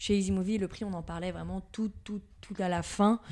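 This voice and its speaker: A woman's dark, mellow, medium-pitched voice with monotone, flat intonation, on a very clean recording with a silent background. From Paris region, France (Levallois-Perret). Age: 20s. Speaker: sales manager. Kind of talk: interview.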